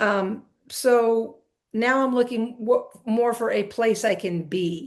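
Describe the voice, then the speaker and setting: Ordinary pitch variation accompanies talking at a very slow pace. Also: woman, fairly high pitch for a woman. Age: 60s. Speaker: retired basketball coach. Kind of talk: interview.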